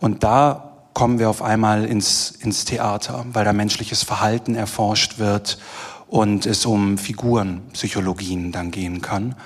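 An ordinary speaking voice from a man, fairly low in pitch, at a fairly slow pace with ordinary pitch variation. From Germany, Düsseldorf. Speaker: theatre director. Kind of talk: panel discussion. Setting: stage with live audience.

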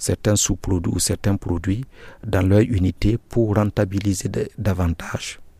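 Here a man speaks at a fairly slow pace with a fairly low pitch. His tone is dark and mellow. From Burkina Faso. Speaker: NGO project coordinator, agronomist. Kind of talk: interview. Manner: halting, with repetitions.

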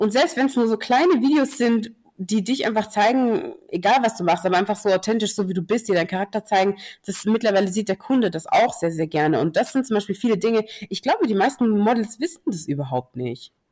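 A woman's fairly high, somewhat breathy voice at a fairly quick pace, with very wide pitch swings. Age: 20s. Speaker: curvy model. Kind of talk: casual chat.

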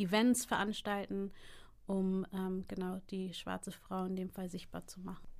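A woman at medium pitch, flat and monotone, fairly slow, in a very clean recording with a silent background. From Hamburg, northern Germany. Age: 30s. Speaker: entrepreneur. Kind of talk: interview.

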